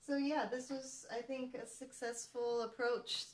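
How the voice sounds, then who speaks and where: Mumbling at a very slow pace, a woman speaks in a high pitch. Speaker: artist hosting live painting stream. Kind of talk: casual live-stream chat.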